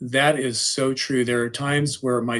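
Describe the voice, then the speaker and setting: A man's medium-pitched voice with ordinary pitch variation, a normal speaking voice. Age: 60s. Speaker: high school English teacher. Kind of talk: presentation / lecture.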